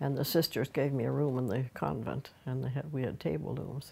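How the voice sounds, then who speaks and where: This woman has a Nova Scotian accent. She talks at a moderate pace. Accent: Nova Scotian (Maritime Canadian). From Nova Scotia, Canada. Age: 80s+. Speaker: craft teacher, weaver. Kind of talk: oral history interview. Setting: at home.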